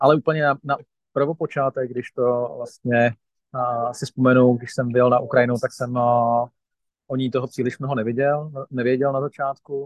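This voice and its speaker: A man at a fairly slow pace, in a monotone, flat intonation. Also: medium pitch for a man. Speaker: vice-chair of a volunteer aid organization. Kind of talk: interview.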